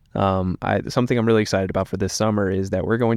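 A man with an American accent speaks at a fairly low pitch in a plain, everyday voice. His pitch varies in an ordinary way over a quiet background. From East Tennessee, US South. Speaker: content producer. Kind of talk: casual chat. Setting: studio.

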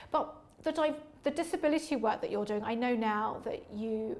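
Speaking very fast at a fairly high pitch, a woman is heard with audible room echo. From East London. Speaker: podcast host and charity founder. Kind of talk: interview conversation. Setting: livery company hall.

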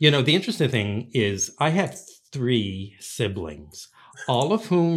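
A man's medium-pitched voice with very wide pitch swings at a fairly slow pace, in a very clean recording with a silent background. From Newfoundland, Canada (St. John's). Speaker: music professor and conductor. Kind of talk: interview.

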